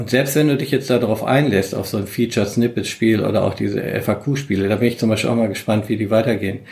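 The speech runs at a very fast pace with fairly even intonation and hardly any pauses. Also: man, medium pitch for a man. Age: 60s. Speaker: search engine optimization veteran. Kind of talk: casual interview.

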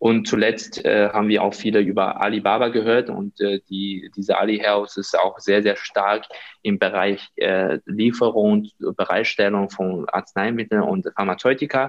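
A man speaks in a Chinese accent at a fairly slow pace. He leaves hardly any pauses. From China. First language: Chinese (speaking German). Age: 30s. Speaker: healthcare business consultant. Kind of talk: interview. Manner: hesitant, many fillers.

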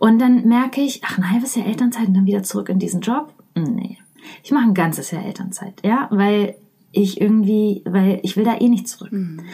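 This woman's tone is dark and mellow, somewhat breathy, with ordinary pitch variation. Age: 30s. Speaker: leadership trainer and coach. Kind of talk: interview.

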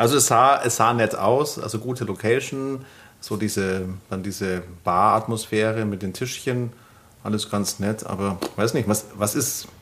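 A man talks in a normal speaking voice, pitched fairly low. His intonation is fairly even and his pace fairly slow. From Bavaria, Germany. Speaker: podcast co-host. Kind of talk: casual chat.

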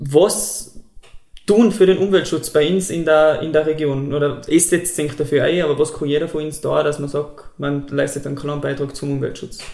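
Speaking at a moderate pace with a Tyrolean accent, a man has a fairly high voice and fairly even intonation. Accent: Tyrolean Austrian German. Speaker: podcast host. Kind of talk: interview.

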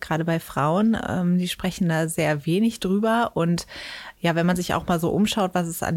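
A woman with a normal speaking voice talks at a moderate pace and medium pitch on a very clean recording with a silent background. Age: 30s. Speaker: sex educator and author. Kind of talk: interview. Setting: studio.

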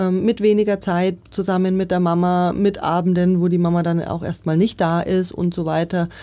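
Here a woman speaks at medium pitch. Her tone is dark and mellow. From Nuremberg, Franconia (Germany). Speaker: politician, mayoral candidate. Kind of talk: interview.

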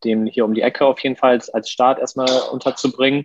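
A man speaks with a monotone, flat intonation. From Lower Saxony, Germany (Westerstede). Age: 30s. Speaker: chef and restaurant owner. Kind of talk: podcast interview.

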